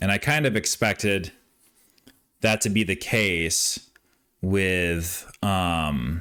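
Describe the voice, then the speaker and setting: A man with a very deep, low, bright and sharp voice, ordinary pitch variation, very even loudness, a very slow pace and long, frequent pauses. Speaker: gaming streamer. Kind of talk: reaction commentary.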